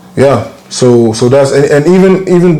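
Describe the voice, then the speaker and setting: A man speaks with ordinary pitch variation. Both audible room echo and noticeable background noise are present. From Ghana. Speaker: musician. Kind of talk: interview. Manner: halting.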